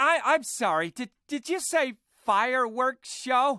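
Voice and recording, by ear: A cartoonish character voice with a bright, sharp tone, lively intonation and a fairly slow pace. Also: woman, high pitch for a woman.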